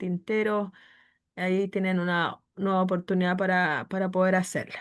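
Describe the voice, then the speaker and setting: A woman is speaking. The background is quiet. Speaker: course lecturer. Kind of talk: online class moderation. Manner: speaks softly.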